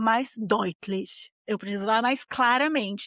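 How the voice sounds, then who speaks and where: A woman's animated tone at a fairly slow pace, in a very clean recording with a silent background and a dry, close sound with no echo. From Brazil. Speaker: podcast host. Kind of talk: casual monologue podcast.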